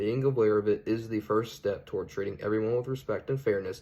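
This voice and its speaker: Talking at a very fast pace, a man speaks with a Southern accent. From US South (Georgia/Alabama). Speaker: student. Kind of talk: class presentation. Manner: formal.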